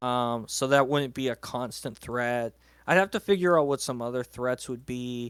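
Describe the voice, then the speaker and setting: A man with an unremarkable speaking voice talks at a moderate pace in a medium pitch with ordinary pitch variation, in a dry, close, very clean recording with no echo and a silent background. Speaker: fiction writer. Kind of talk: casual chat.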